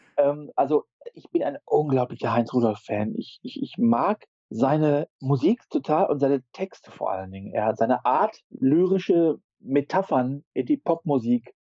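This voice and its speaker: A man speaks at a moderate pace with a fairly high pitch. His pitch swings very widely and his loudness rises and falls a lot. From Ruhr area, Germany. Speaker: street photographer and intensive care worker. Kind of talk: casual chat.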